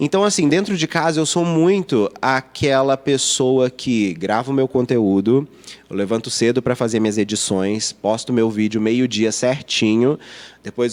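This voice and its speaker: A man's medium-pitched voice, lively in intonation and fairly slow in pace. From Minas Gerais, Brazil (Lavras). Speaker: youtuber and advertising professional. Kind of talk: podcast interview. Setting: in-person podcast studio.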